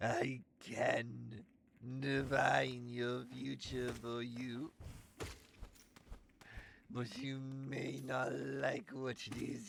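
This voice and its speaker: A put-on character voice from a man at medium pitch and a very slow pace. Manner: menacing, ominous.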